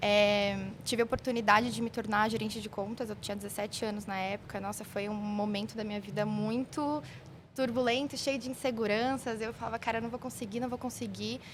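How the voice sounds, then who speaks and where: Here is an unremarkable speaking voice from a woman, fairly high in pitch. She moves at a fairly quick pace with fairly even intonation. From São Paulo, south zone. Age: 20s. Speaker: merchandising analyst. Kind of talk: podcast interview.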